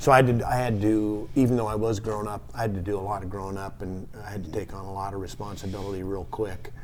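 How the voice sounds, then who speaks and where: A man with a fairly low voice talks at a fairly quick pace. Audible room echo surrounds his words. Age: 60s. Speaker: hardware store owner. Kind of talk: casual interview. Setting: podcast studio at a marina. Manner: halting.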